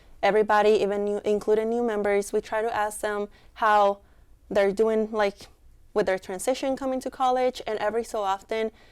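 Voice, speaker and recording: Delivery is fairly quick, with monotone, flat intonation. The recording is very clean, with a silent background. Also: woman. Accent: Mexican. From Mexico. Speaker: student club leader. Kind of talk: interview.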